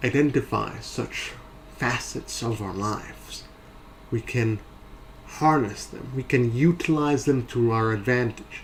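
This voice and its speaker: At a fairly slow pace, a man talks in a medium pitch with ordinary variation. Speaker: video essayist. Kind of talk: motivational talk.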